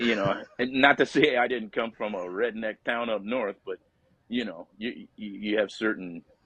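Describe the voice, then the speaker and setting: A man with an Upstate New York accent, medium pitch, fairly even intonation and a moderate pace. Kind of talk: interview answer. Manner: casual, relaxed.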